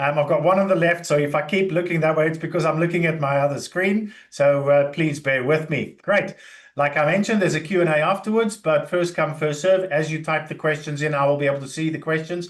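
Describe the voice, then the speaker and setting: Talking at a fairly quick pace with hardly any pauses, a man has an unremarkable speaking voice pitched fairly high. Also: fairly even intonation. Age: 60s. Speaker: IT contractor and career speaker. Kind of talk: webinar presentation. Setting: online webinar with screen sharing.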